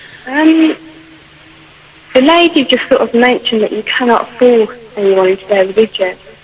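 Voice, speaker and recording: Amid noticeable background noise, a woman with a high voice and lively intonation talks at a moderate pace with long, frequent pauses. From British Punjabi. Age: young. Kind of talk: radio phone-in caller.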